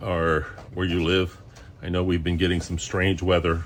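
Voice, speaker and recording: A man speaks in a very deep, low voice with monotone, flat intonation over noticeable background noise. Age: 60s. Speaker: home cooking channel host. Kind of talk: casual cooking tutorial. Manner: hesitant, many fillers.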